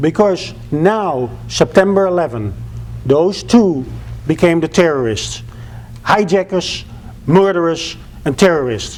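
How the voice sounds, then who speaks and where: With a Dutch accent, a man speaks at a fairly slow pace with long, frequent pauses, his fairly high pitch moving in lively intonation. Noticeable background noise runs behind him. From Netherlands. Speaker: public speaker, former flight school owner. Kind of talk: public speech.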